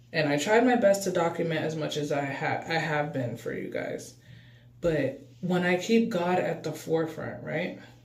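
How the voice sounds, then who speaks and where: Audible room echo, noticeable background noise, and ordinary pitch variation. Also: man, fairly high pitch for a man, moderate pace. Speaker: spiritual self-help vlogger. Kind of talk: casual vlog monologue.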